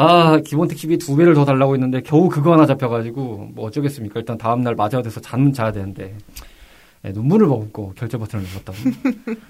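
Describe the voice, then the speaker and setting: Very fast speech from a man at a medium pitch, with lively intonation. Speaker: podcast host. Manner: formal broadcaster tone.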